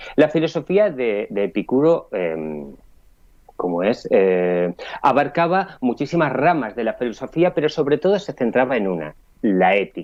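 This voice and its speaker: Speaking at a fairly slow pace, a man at medium pitch makes very wide pitch swings. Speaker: philosophy columnist. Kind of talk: radio philosophy talk.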